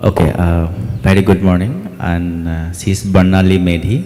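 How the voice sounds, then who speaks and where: Over noticeable background noise, a man with a very deep, low voice speaks fairly slowly with an Assam accent and fairly even intonation. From Assam, India. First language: Assamese. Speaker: theatre director. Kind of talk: panel interview. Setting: festival meet-the-artists session. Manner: halting, many fillers.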